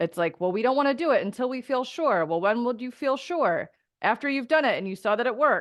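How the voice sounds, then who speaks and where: Her intonation rises and falls in a lively way. Little can be heard behind the woman's voice. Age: 30s. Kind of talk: testimonial interview. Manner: animated.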